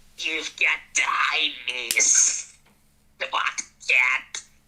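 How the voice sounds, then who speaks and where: A raspy, hissing put-on character voice. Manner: hissing, scared.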